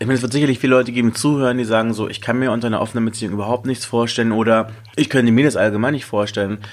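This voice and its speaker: At a very fast pace, a man with medium pitch speaks with fairly even intonation. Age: 30s. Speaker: DJ and dating podcast host. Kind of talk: casual chat.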